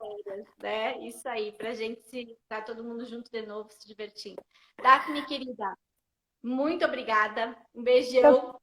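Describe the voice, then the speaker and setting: A woman talks at a fairly slow pace and fairly high pitch, with big swings in loudness. It is an unremarkable speaking voice. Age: 40s. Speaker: bible storytelling live host. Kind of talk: casual live-stream chat. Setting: Instagram live.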